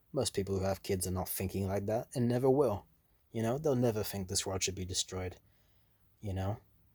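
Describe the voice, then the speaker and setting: A man talks at a fairly quick pace in a fairly low, somewhat breathy voice. His pitch varies in an ordinary way, and he takes long, frequent pauses. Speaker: antinatalist video blogger. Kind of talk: casual monologue vlog. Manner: fast; casual, heavy filler words.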